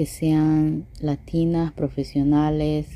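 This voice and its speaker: This woman's voice is very deep and low, with a dark, mellow tone. Her intonation stays monotone and flat. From Ecuador. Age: 30s. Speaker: listener submitting a question. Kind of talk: recorded voice message question. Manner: hesitant, many fillers.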